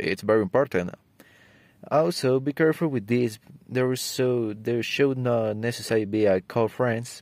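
A man with a Spanish accent, a fairly slow pace and ordinary pitch variation, on a dry, close recording with no echo. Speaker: student. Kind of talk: prepared speech for English exam. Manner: halting.

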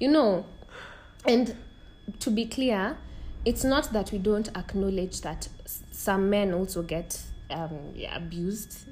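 A woman with a medium-pitched, fry-laden voice talks at a very slow pace, her loudness swinging widely, with long, frequent pauses and audible echo from the room. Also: lively intonation. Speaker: podcast host. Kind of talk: casual chat.

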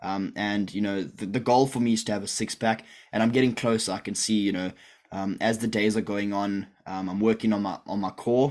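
A man with a plain, everyday voice, fairly low in pitch, ordinary pitch variation, at a fairly quick pace. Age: 20s. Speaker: online business coach. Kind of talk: live-streamed group call. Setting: video call livestream. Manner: casual, filler-heavy.

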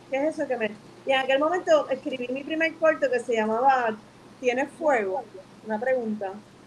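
Noticeable background noise runs under a woman's voice. She talks at a fairly quick pace, high in pitch, with ordinary pitch variation. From Puerto Rico (Bayamón). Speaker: filmmaker and artist. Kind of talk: interview. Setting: live stream.

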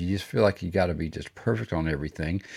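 A man with a Texan accent, very deep and low in pitch, on a very clean recording with a silent background. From Texas. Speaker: podcast host, business coach. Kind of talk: solo motivational talk. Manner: casual, halting with many fillers.

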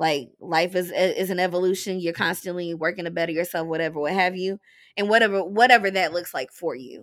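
Speaking at a fairly quick pace, a woman with a plain, everyday voice keeps a medium pitch and fairly even intonation on a very clean recording with a silent background. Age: 20s. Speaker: writer, blogger and podcaster. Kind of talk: casual chat.

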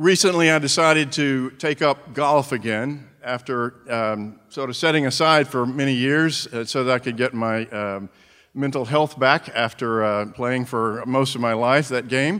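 A man's medium-pitched voice in a Southern US accent, bright and sharp in tone, at a fairly slow pace with ordinary pitch variation, on a very clean recording with a silent background. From US South. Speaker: preacher. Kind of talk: sermon. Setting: church.

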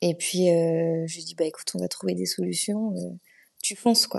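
A woman is speaking. She keeps a moderate pace. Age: 30s. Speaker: amateur runner and beekeeping business owner. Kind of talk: casual interview.

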